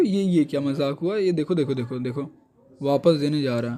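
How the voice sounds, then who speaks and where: A man talks against noticeable background noise. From Bihar, India. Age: young. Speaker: vlogger. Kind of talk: casual vlog talk to camera.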